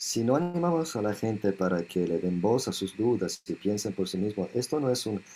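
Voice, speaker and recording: Pitched fairly low, a man talks at a fairly quick pace with very wide pitch swings. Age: 70s. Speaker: monk and spiritual author. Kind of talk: interview.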